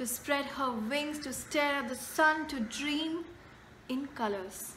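A woman speaks very slowly in a high voice with lively intonation over light background noise. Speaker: poet. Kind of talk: poetry reading. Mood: gentle, reflective. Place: home room. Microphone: phone near.

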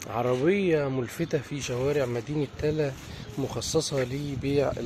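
The recording of this man's fairly even intonation is dry with no echo, though noticeable background noise is present. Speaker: street reporter. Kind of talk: news field report narration. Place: street. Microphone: phone near.

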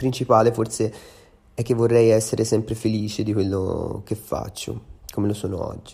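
Somewhat breathy male voice, dark and mellow in tone, with monotone, flat intonation. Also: medium pitch for a man, moderate pace. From Tuscany, Empoli. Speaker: singer-songwriter. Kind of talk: interview answers to read-out questions. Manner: halting, with many fillers.

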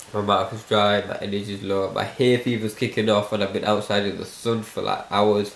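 With a British accent, a man talks at a fairly quick pace and a fairly low pitch. His intonation is monotone and flat. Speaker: vlogger. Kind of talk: casual vlog.

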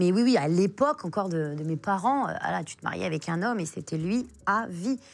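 Medium pitch and ordinary pitch variation from a woman talking at a moderate pace. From France, Pakistani family, arrived as baby. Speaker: author, forced-marriage survivor; interview guest. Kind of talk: interview testimony. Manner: hesitant, many fillers. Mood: emotional personal story. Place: studio. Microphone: lapel.

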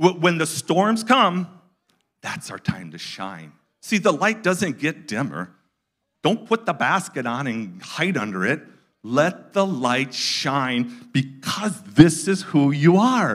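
The speech is very slow, with very wide pitch swings and vocal fry. The background is quiet. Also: man, fairly high pitch for a man. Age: 60s. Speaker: guest preacher. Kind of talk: sermon. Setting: church with live audience. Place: church. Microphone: handheld.

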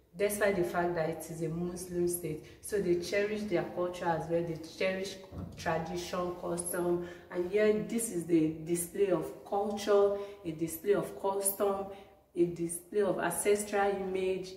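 Amid audible room echo and light background noise, a woman speaks fairly slowly in a monotone, flat way. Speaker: student vlogger. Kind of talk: casual vlog chat. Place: hall. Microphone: phone near.

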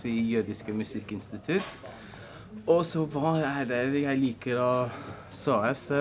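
Over light background noise, a man with a Norwegian Uplands accent speaks fairly slowly with ordinary pitch variation. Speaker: music institute staff. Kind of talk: casual self-introduction. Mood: friendly, relaxed. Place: office.

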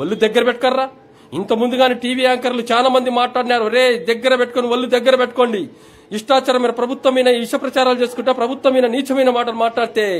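A man speaks loudly at an extremely high pitch. His intonation is monotone and flat. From Andhra Pradesh. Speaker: village volunteer. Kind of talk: angry warning rant. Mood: angry, warning tone. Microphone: phone near.

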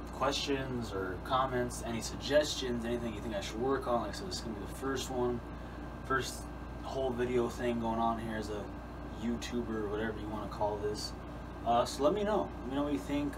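Fairly quick speech with noticeable background noise. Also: man. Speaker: outdoors channel host. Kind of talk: casual vlog chat. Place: home room. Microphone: camera far.

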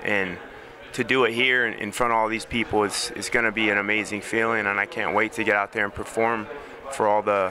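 At a fairly quick pace, a man with an American accent talks at a fairly low pitch with fairly even intonation, in a dry sound with no echo and noticeable background noise. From United States. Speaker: professional MMA fighter. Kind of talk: interview. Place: hall. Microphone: handheld.

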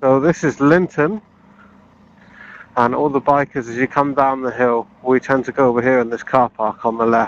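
A man at a fairly quick pace with fairly even intonation, in dry sound with no echo. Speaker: motorcycle travel vlogger. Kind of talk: casual vlog commentary. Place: motorbike. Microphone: helmet.

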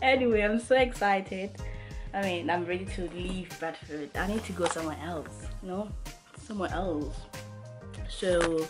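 A woman with a fairly low pitch and ordinary pitch variation at a moderate pace, with long, frequent pauses and clear music in the background. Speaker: student vlogger. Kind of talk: casual vlog chat. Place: home room. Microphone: phone near.

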